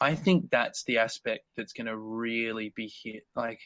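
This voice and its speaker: A man speaks with an Australian accent and lively intonation at a moderate pace. The sound is dry and close, with no echo. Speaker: guitarist. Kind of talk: casual chat.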